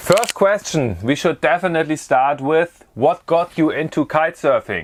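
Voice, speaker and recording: A man with a German accent speaks at a moderate pace, his fairly high pitch showing vocal fry. His pitch variation is ordinary and his loudness very even. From Germany. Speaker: kitesurfer and video creator. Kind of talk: Q&A monologue to camera. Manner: casual.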